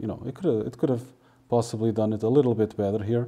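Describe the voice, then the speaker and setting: A man speaks with a Portuguese accent in a dark, mellow tone. His voice sits at a medium pitch, with fairly even intonation. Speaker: translator. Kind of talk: tutorial. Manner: casual, hesitant with fillers.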